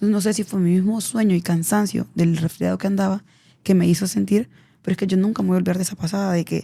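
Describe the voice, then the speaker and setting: A woman speaks at a very fast pace in a medium pitch, her dark, mellow tone somewhat breathy. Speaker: embalmer and auxiliary nurse. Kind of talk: podcast interview storytelling.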